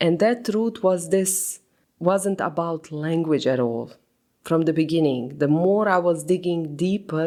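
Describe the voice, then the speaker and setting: A woman in a non-native accent, fairly low pitch, dark and mellow tone, ordinary pitch variation, very even loudness, and a fairly slow pace, on a very clean recording with a silent background. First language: not English. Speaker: podcast host. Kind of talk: reflective solo podcast monologue.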